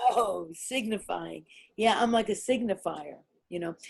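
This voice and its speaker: Very slow female speech with lively intonation. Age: 70s. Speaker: performance artist and writer. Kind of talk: interview. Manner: halting.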